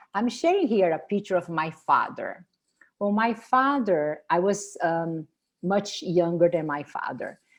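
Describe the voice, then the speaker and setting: At a fairly slow pace, a woman speaks with a Brazilian Portuguese accent and ordinary pitch variation. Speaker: spiritual tour leader and wellness presenter. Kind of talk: product presentation. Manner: halting.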